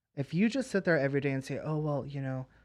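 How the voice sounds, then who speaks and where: A man talking at a very fast pace in a fairly high pitch, a quiet background around him. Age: 20s. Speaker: celebrity makeup artist. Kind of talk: casual chat.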